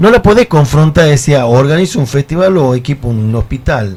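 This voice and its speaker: A man with a medium-pitched, dark, mellow voice speaks at a moderate pace. He sounds somewhat breathy, with lively intonation. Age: 50s. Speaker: folk musician. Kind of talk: casual chat. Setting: studio.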